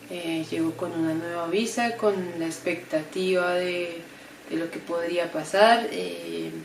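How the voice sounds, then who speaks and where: Amid noticeable background noise and audible room echo, a woman with a fairly low pitch talks at a fairly slow pace with fairly even intonation. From Colombia, Bogotá. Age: 30s. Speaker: graphic designer and embroidery creator. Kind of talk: testimony. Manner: hesitant, many fillers.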